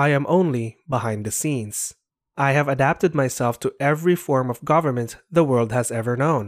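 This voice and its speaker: In a very clean recording with a silent background and a dry, close sound with no echo, a man has a plain, everyday voice, fairly high in pitch, at a moderate pace with ordinary pitch variation. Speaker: narrator reading a preface aloud. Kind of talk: scripted reading of a 1930s sermon-style text, solemn and oratorical. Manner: solemn, measured, rhetorical, building in grandeur.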